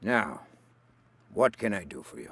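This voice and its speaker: Raspiness runs through the voice. It is a put-on character voice. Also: man. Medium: video game. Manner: smooth, genial.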